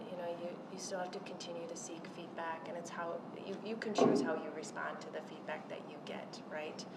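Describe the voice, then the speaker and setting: A woman's fairly low voice with fairly even intonation, amid noticeable background noise and audible room echo. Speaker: panelist at women's leadership event. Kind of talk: panel discussion.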